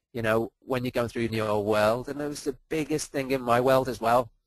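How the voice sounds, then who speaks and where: The speaker has a Liverpool accent and a monotone, flat intonation. The pace is fairly quick. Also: man, dry, close sound with no echo. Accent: Liverpool (Scouse). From Liverpool, England. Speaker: performance coach. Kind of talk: webinar presentation. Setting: online webinar.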